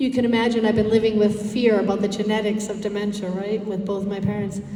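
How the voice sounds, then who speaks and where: A woman with an American accent amid audible room echo and noticeable background noise. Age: 60s. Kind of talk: presentation to community group. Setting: dinner event with audience.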